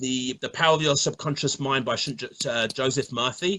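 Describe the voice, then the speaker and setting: In a London accent, a man with a fairly high pitch speaks at a moderate pace with fairly even intonation. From London, England. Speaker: bodybuilder and fitness coach. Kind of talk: interview. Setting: online live stream. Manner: repeats words often, halting starts.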